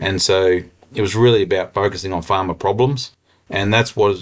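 Here a man talks with an Australian accent. His pitch is fairly low and his pace fairly quick. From central Queensland, Australia. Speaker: agtech company co-founder and rural consultant. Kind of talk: interview. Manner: animated.

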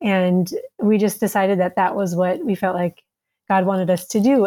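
Speaking at a moderate pace, a woman uses a dark, mellow tone. Her medium pitch stays in fairly even intonation. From US Midwest, Minnesota. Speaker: author and school founder living abroad. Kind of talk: interview.

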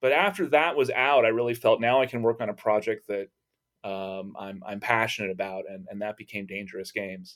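A man with an American accent has a plain, everyday voice at medium pitch with ordinary pitch variation and big swings in loudness, in a very clean recording with a silent background. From Texas. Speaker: religious studies professor. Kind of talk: interview.

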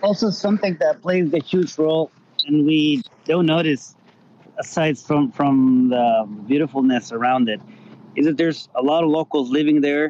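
With a Spanish accent, a man with a fairly high pitch speaks at a moderate pace, with ordinary pitch variation, very even loudness and a dry, close sound with no echo. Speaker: rally organizer. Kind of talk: casual interview chat.

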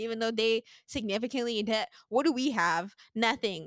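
A woman with an American accent, fairly high pitch, ordinary pitch variation and a fairly quick pace, on a very clean recording with a silent background and a dry, close sound free of echo. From Sint Maarten. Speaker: podcast host. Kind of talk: casual conversational interview.

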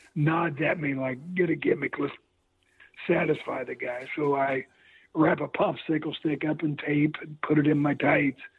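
A man with a Midwestern US accent, fairly high in pitch, at a moderate pace with fairly even intonation. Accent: US Midwest. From Missouri, St. Joseph. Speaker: retired pro wrestler. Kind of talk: interview.

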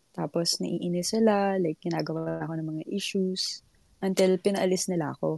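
Music plays behind a woman with a medium pitch. She speaks at a moderate pace in a dry, close sound with no echo. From Philippines. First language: Tagalog. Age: 20s. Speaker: caller. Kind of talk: casual chat.

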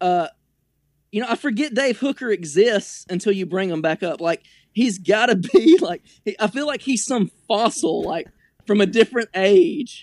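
Recorded very cleanly against a silent background, with a dry, close sound and no echo, a man with a high voice and an American accent speaks at a moderate pace with lively intonation. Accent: Southern redneck. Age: 20s. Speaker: sports fan guest. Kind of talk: casual chat.

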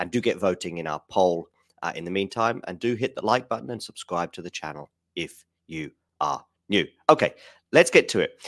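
A man's fairly low voice at a fairly quick pace, with very wide pitch swings, big swings in loudness and long, frequent pauses, in a dry, close sound with no echo on a very clean recording with a silent background. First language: not Spanish; Spanish learned as adult. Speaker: tennis youtuber and podcaster. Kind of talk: live-stream commentary translating an interview. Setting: livestream from home with chat. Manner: casual, hesitant with fillers.

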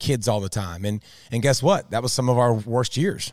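An animated, medium-pitched male voice with lively intonation, dry and close with no echo, in a very clean recording with a silent background. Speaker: former pro athlete and co-host. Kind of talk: casual chat. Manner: loud, animated.

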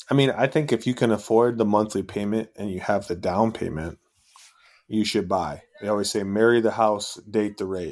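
Delivered at a moderate pace with fairly even intonation, a normal speaking voice comes through a very clean recording with a silent background. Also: man, fairly low pitch for a man. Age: 30s. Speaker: real estate investor. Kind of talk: casual chat.

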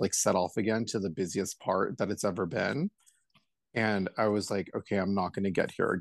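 A man with an American accent talks at a fairly quick pace in a fairly low voice. His intonation stays fairly even over a quiet background. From Los Angeles, California. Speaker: hairstylist. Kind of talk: casual chat.

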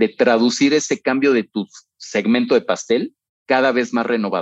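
A man of medium pitch has a plain, everyday voice with ordinary pitch variation and a dry, close sound with no echo. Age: 40s. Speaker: retail operations executive. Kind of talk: interview.

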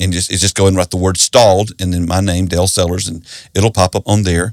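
A man talks at a very fast pace with a Southern US accent. The recording is very clean, with a silent background. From South Carolina. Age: 60s. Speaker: pastor and author. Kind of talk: interview.

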